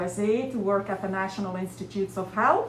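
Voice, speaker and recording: A woman with a Belgian accent talks at a moderate pace, with audible room echo and noticeable background noise. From Belgium. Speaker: college professor. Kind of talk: lab tour presentation. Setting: lab.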